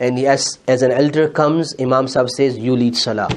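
A man with a Pakistani accent and a fairly high pitch, at a moderate pace. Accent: South Asian (Urdu) English. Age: 40s. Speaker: Islamic scholar, preacher. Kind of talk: sermon.

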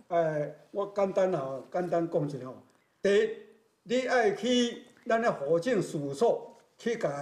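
Very slow and full of lively intonation, a man speaks with a Taiwanese accent over audible room echo. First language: Taiwanese Hokkien (speaking Chinese). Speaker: retired teacher, temple committee member; interview guest. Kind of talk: interview testimony. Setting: temple. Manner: halting. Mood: warm, earnest. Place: hall. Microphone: lapel.

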